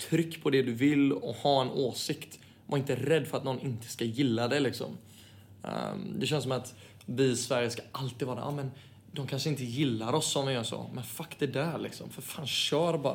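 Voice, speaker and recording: With a somewhat breathy quality, this voice keeps a moderate pace and fairly even intonation. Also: man, medium pitch for a man. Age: 20s. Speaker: footballer. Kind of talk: casual chat.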